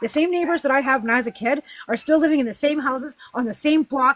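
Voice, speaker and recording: A woman with a western Canadian accent talks at a very fast pace in a high pitch with ordinary variation, the sound dry and close with no echo. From western Canada. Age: 50s. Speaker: political livestream host. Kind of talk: heated debate. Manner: animated.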